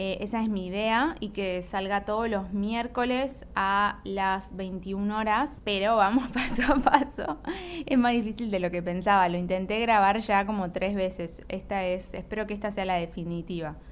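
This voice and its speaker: This woman has an ordinary speaking voice at a medium pitch, with ordinary pitch variation. She talks at a fairly slow pace with hardly any pauses. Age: 20s. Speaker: podcast host and YouTuber. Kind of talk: casual monologue.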